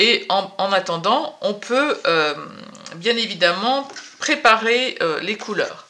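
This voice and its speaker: Over noticeable background noise, a woman speaks at a very slow pace. Her fairly high voice carries lively intonation. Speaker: watercolour painting teacher. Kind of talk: tutorial. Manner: hesitant, many fillers.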